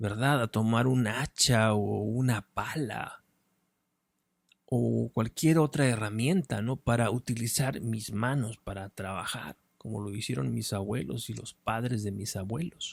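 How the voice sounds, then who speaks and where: Mumbling at a fairly slow pace, a man speaks at medium pitch with ordinary pitch variation, in a dry, close sound with no echo on a very clean recording with a silent background. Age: 40s. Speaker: philosophy content creator, writer and speaker. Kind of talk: unscripted monologue. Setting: in front of a camera. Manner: mumbling, swallows words.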